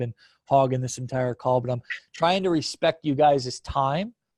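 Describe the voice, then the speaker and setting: This man's somewhat breathy voice sits at a medium pitch and moves at a moderate pace. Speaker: online marketing coach. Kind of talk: promotional video chat.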